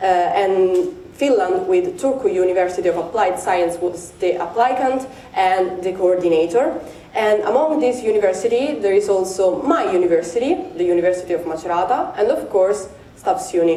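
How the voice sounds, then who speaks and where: A woman with an Italian accent speaks at a moderate pace and medium pitch with ordinary pitch variation and very even loudness, amid noticeable background noise and audible room echo. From Italy. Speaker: PhD researcher. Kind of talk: conference presentation. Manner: halting, many fillers.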